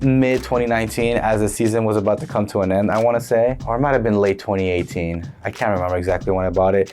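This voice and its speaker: A man with an American accent speaks at a very fast pace with hardly any pauses. His fairly low pitch shows ordinary variation. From United States. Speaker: football shirt collector, video creator. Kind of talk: casual show-and-tell vlog. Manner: casual, rambling.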